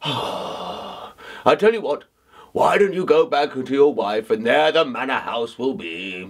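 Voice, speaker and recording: A man's put-on character voice, fairly high in pitch, with very wide pitch swings and a fairly slow pace. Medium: read story. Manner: weary, indulgent.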